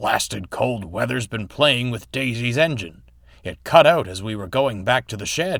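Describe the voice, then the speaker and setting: Using a put-on character voice, a man at medium pitch speaks with lively intonation at a moderate pace. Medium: read story. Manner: prim, huffy.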